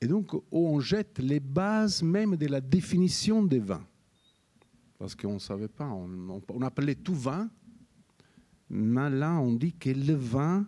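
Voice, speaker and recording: Speaking in a Neapolitan accent, a man has a medium pitch and a dark, mellow tone. His delivery is very slow, with very wide pitch swings. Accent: Neapolitan Italian accent in French. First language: Italian (speaking French). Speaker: wine scientist, professor of oenology. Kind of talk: interview. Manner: halting, many hesitations.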